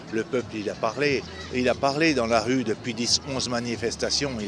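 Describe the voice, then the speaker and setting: With music in the background, a man talks at a fairly quick pace with fairly even intonation. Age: 60s. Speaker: retired protester at a street demonstration. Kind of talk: street interview. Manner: halting, many repetitions and hesitations.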